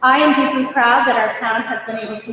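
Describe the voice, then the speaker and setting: Loud and high-pitched, a woman talks at a fairly quick pace amid noticeable background noise and audible room echo. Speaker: town manager. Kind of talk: formal report to council. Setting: council meeting with audience. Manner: formal.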